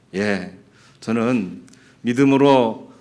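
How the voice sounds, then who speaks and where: In a room with audible echo, a man at a medium pitch speaks at a very slow pace with ordinary pitch variation. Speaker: pastor. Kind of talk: sermon.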